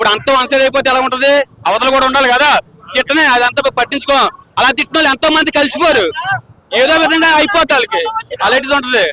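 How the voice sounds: With a dry, close sound and no echo, a man speaks fast in a bright, sharp tone at an extremely high pitch, his pitch varying in an ordinary way.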